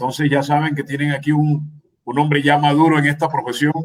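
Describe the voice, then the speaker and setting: Speaking at a moderate speed, a man uses a fairly high pitch. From Colombian Caribbean coast, Magdalena. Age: 60s. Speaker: sports radio commentator. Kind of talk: radio interview.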